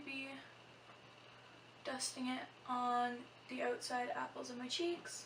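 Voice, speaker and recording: A soft-spoken woman with a high pitch talks with long, frequent pauses. Noticeable background noise and audible room echo surround her. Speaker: beauty vlogger. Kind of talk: tutorial.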